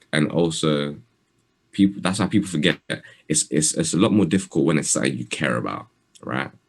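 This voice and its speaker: A man talks in a very deep, low voice with vocal fry. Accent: London. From London, England. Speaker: rapper. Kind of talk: interview. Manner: soft-spoken.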